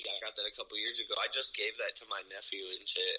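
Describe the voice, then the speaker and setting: Noticeable background noise is heard as a man talks. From Ohio, US Midwest. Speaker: rapper. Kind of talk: casual chat.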